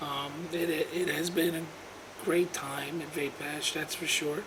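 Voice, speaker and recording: A man with a high pitch speaks at a very slow pace over noticeable background noise. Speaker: vaping enthusiast, e-cig video maker. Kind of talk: casual how-to tutorial to camera.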